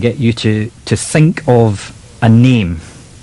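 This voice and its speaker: Noticeable background noise behind a man at a medium pitch. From Scotland. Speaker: mentalist / mind reader. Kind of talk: live radio interview.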